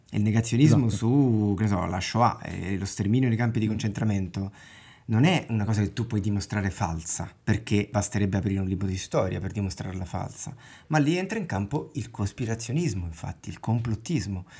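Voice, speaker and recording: At a fairly quick pace, a man speaks at a fairly low pitch with ordinary pitch variation. His dark, mellow tone is somewhat breathy, and the recording is very clean with a silent background. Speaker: podcast host. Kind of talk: casual chat. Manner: pauses with filler sound when thinking.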